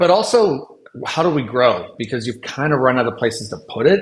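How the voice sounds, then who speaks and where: A man is speaking. His voice is somewhat breathy. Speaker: tech company CEO. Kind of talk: podcast interview. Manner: fast; animated.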